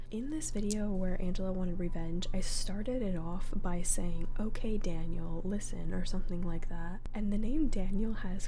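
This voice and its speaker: Soft-spoken, a woman talks at a moderate pace with hardly any pauses and ordinary pitch variation over noticeable background noise. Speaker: ASMR creator. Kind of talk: casual talk to camera.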